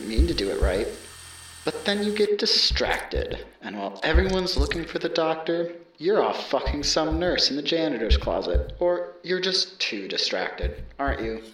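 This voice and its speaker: A menacing, sinister tone at a moderate pace over noticeable background noise. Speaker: voice actor playing characters. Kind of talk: horror story voiceover, theatrical character performance. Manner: menacing, taunting, sinister, in a put-on voice.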